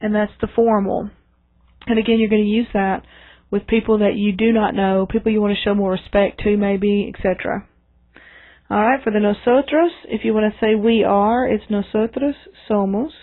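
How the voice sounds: Fairly even intonation from a woman, delivered at a moderate pace. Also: medium pitch for a woman.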